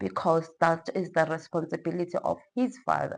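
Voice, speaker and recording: Speaking at a fairly slow pace, a woman with a fairly low pitch has a plain, everyday voice. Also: quiet background. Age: 30s. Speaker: teacher and personal finance vlogger. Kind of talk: casual vlog explaining personal budget.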